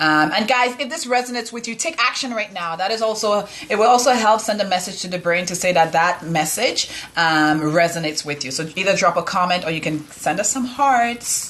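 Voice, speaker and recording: A woman speaks at a fairly quick pace with hardly any pauses over noticeable background noise. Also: medium pitch for a woman, lively intonation. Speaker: live show co-host. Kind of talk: casual live-stream recap.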